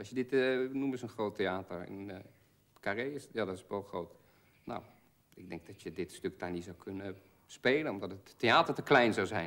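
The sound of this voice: At a moderate pace, a man talks in a fairly low voice with a fairly bright tone and ordinary pitch variation.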